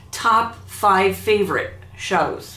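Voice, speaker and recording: A woman speaks with audible room echo. Noticeable background noise runs under her voice. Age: 70s. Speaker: YouTuber. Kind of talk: casual vlog talk.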